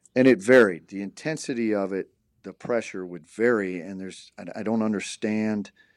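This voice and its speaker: With an American accent and a plain, everyday voice, a man speaks at a fairly low pitch and moderate pace, with ordinary pitch variation and big swings in loudness, on a very clean recording with a silent background. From US Midwest, Michigan. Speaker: college basketball coach. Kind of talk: casual chat.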